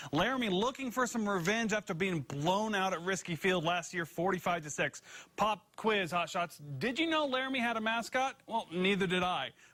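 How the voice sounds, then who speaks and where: With a raised, projected voice, a man speaks at high pitch in a bright, sharp tone, using lively intonation and hardly any pauses. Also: moderate pace. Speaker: sports reporter. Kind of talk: local TV sports news report.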